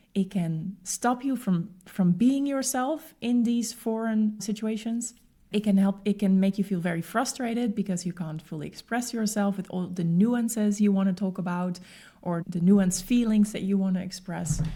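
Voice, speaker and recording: With a Dutch accent, a woman speaks in a medium-pitched, somewhat breathy voice with a dark, mellow tone. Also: ordinary pitch variation, moderate pace. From Netherlands. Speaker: podcast host and expat coach. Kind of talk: podcast monologue. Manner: conversational.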